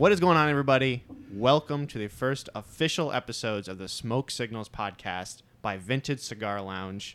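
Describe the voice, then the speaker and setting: Moderately paced, this man has an unremarkable speaking voice, medium in pitch, with lively intonation and big swings in loudness. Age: 20s. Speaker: podcast producer and host. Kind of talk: casual chat.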